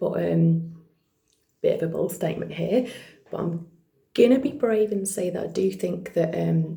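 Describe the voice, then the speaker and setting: A quiet woman's voice at a moderate pace, broken by long, frequent pauses. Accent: British. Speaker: vlogger and actor. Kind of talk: casual vlog monologue. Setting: at home, partner asleep next room. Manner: trying to speak quietly; many fillers, unscripted.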